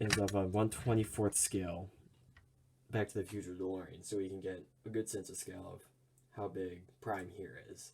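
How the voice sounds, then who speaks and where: A man's fairly low, monotone voice, somewhat breathy, with big swings in loudness and a moderate pace. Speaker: toy reviewer. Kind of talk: product review. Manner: casual, with fillers.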